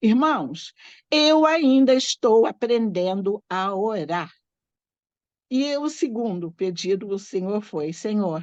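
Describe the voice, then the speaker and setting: The voice swings very widely in pitch over a quiet background. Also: woman. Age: 60s. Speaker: church training host and Sunday school teacher. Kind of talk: event introduction with personal testimony.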